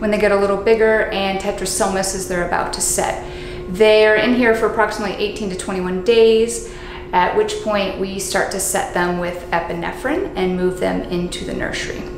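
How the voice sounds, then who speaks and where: Her intonation stays fairly even as this woman talks in a room with audible echo and noticeable background noise. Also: moderate pace. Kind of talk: technical tour explanation. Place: factory.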